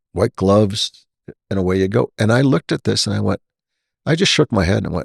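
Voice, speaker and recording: Vocal fry runs through the voice at a very fast pace. The sound is dry and close, with no echo. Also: man, very clean recording, silent background. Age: 60s. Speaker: podcast host and retired airline pilot, flight instructor. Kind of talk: casual interview conversation.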